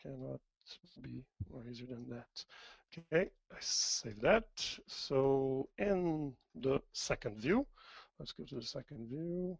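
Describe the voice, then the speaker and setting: A man with a French accent talks at a very slow pace with long, frequent pauses. His medium-pitched voice has lively intonation and big swings in loudness. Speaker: software demo presenter. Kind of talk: tutorial. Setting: webinar.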